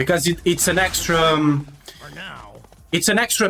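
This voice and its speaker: A man speaks at a fairly high pitch for a man. Noticeable background noise runs behind him. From Portugal. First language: Portuguese. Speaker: video game streamer. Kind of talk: live gameplay commentary. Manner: halting.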